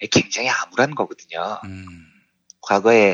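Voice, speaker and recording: A man speaks very slowly at a fairly low pitch. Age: 40s. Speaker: economics journalist. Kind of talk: explanatory talk. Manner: laughs often.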